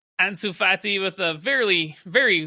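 A man talks in an animated, enthusiastic tone. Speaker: podcast host, football fan. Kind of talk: sports commentary, play-by-play recap of goals. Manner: vivid, gushing over skill and goals.

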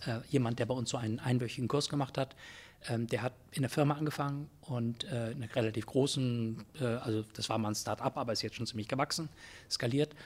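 A man talks at a very fast pace, his voice somewhat breathy. His pitch sits in the medium range and his intonation stays fairly even. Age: 60s. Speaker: Jesuit priest and philosophy professor, leadership consultant. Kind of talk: interview conversation. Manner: hesitant with many fillers.

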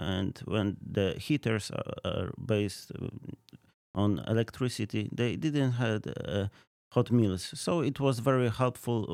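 A man's fairly low voice with a Polish accent, ordinary pitch variation and a very slow pace. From Poland, near Krakow. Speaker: ministry field representative. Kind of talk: casual interview. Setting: studio. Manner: halting, many fillers.

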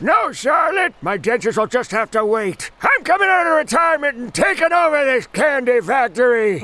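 Shouting at an extremely high pitch, a man makes very wide pitch swings at a moderate pace with hardly any pauses. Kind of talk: comic overacting. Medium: audio drama. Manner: cheerful, doddering, enthusiastic.

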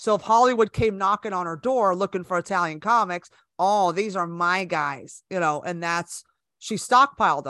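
A woman with an American accent talks at a moderate pace and medium pitch, her bright, sharp tone carrying ordinary pitch variation in a dry, close sound with no echo on a very clean recording with a silent background. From California, Bay Area. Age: 50s. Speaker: comedian. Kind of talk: casual chat.

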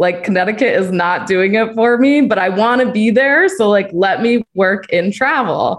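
In an American accent, this ordinary speaking voice moves at a moderate pace with hardly any pauses, very even loudness and ordinary pitch variation. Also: woman, fairly high pitch for a woman. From US Northeast. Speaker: travel community manager. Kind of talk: casual panel chat. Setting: video call.

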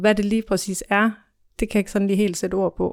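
The recording is very clean with a silent background as a woman speaks at a fairly quick pace. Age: 30s. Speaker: office trainee. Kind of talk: interview. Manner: hesitant, many fillers.

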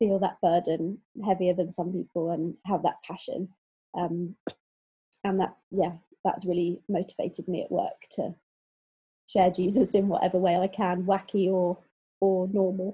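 A woman's somewhat breathy voice proceeds at a moderate pace. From southwest England, Exeter. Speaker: theology college spouse, former corporate HR lead. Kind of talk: casual interview.

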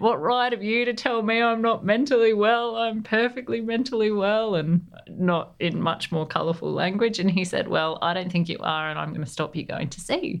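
A woman with an Australian accent, moderate pace and ordinary pitch variation. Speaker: navy veteran. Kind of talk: interview.

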